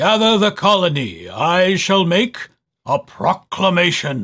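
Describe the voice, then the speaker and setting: Putting on a character voice, a man speaks high in pitch at a fairly slow pace. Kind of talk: regal, proclamatory. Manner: heroic.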